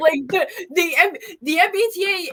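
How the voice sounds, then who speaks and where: In a Boston accent, a woman uses a raised, projected voice with ordinary pitch variation. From Massachusetts, Boston. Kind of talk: casual, profane.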